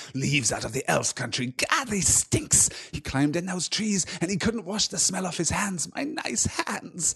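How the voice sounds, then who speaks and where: A man does a put-on character voice at a high pitch, with hardly any pauses and a moderate pace. Light background noise runs underneath. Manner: disgusted, malicious.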